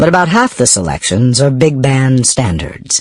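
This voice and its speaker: A man's normal speaking voice at medium pitch and a moderate pace, with lively intonation. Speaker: audiobook narrator. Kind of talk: audiobook narration.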